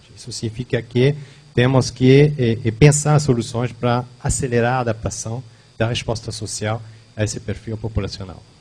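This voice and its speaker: A man's somewhat breathy, medium-pitched voice with a dark, mellow tone and a non-native accent. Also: fairly even intonation, moderate pace. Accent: foreign accent in Portuguese. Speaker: company founder and demographer giving a talk. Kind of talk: lecture. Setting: event hall with audience. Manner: halting, many fillers.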